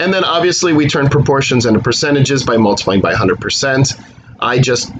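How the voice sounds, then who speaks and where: A man's medium-pitched voice with lively intonation, a fairly quick pace and noticeable background noise. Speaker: math instructor. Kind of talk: recorded lecture. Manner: fast; casual.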